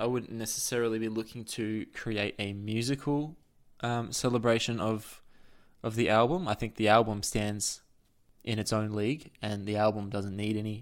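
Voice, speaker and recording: Fairly even intonation marks this voice, spoken in an Australian accent. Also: man. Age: 30s. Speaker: author and music researcher. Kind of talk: casual chat.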